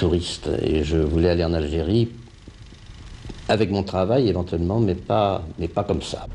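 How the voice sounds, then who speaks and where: Speaking at a fairly slow pace with long, frequent pauses, a man uses a very deep, low pitch and ordinary pitch variation. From Paris region, France. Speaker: puppeteer, former activist. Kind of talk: interview testimony.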